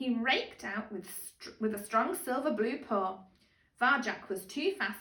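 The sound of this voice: Text read in an unforced reading voice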